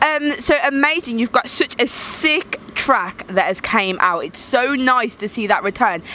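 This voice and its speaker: A woman with a Birmingham accent speaks at a fairly slow pace in a high pitch with very wide pitch swings, the sound dry with no echo over light background noise. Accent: Birmingham (Brummie) English. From Birmingham, England. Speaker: YouTube interviewer and DJ. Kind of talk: casual interview. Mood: warm, enthusiastic. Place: street. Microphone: handheld.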